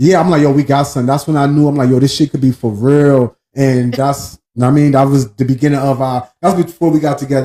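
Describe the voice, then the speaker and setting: Speaking very fast, a man uses a dark, mellow tone at medium pitch. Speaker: podcast host and livestreamer. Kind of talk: casual chat. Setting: livestream at home. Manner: loud; animated.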